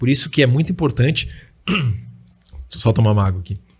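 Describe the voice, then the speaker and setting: Vocal fry runs through the voice. The delivery has lively intonation at a moderate pace. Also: man. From Brazil, Rio do Sul, Santa Catarina. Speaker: Bible study influencer. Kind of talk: interview, explaining Bible interpretation. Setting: studio, radio and YouTube show.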